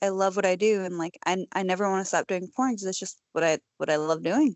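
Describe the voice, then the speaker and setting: Speaking at a fairly quick pace, a woman has an ordinary speaking voice with a medium pitch and ordinary pitch variation. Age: 30s. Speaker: adult film performer. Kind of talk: casual chat. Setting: video call. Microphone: Skype connection with word dropouts.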